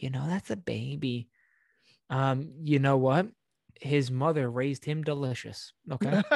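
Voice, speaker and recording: Speaking at a fairly slow pace with long, frequent pauses, a man with a medium pitch and ordinary pitch variation is heard in a dry, close sound with no echo against a quiet background. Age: 20s. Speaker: podcast co-host. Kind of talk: casual chat. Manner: animated.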